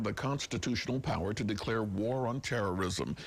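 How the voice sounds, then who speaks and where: A man's medium-pitched, unremarkable speaking voice, fairly quick and with lively intonation. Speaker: news anchor. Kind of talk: TV news anchor read.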